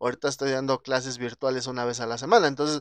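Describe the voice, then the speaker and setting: Talking at a very fast pace, a man uses medium pitch and a Mexican accent. The sound is dry and close with no echo. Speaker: podcast host. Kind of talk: casual chat.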